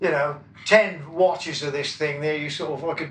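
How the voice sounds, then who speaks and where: Speaking in a Wiltshire accent, a man keeps a moderate pace with ordinary pitch variation. Audible room echo and noticeable background noise are present. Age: 70s. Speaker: rock drummer. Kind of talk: interview. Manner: halting, many fillers.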